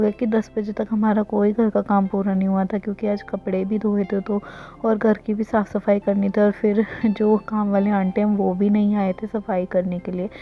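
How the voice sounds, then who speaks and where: A woman at a medium pitch and a fairly slow pace, with monotone, flat intonation and music in the background. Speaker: vlogger. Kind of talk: casual vlog narration.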